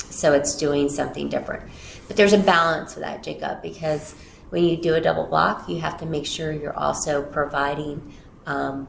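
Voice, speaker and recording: A woman talks at a moderate pace. Room echo is audible around her. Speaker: school district superintendent. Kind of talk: interview. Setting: office, livestreamed interview. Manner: loud.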